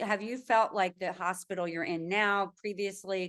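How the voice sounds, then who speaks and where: A woman with an ordinary speaking voice talks at a medium pitch and moderate pace, her intonation fairly even, over a quiet background. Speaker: podcast host. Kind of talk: interview question.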